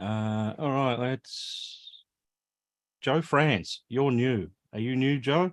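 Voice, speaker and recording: A man with an Australian accent speaks at medium pitch, with ordinary pitch variation, at a very slow pace. Long, frequent pauses break up his speech, and the sound is dry and close with no echo. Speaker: live stream host, retro computer hobbyist. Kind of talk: casual chat. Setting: live stream video call.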